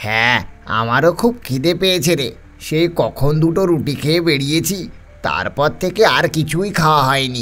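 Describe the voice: A man puts on a character voice. He speaks at a moderate pace with a fairly high pitch.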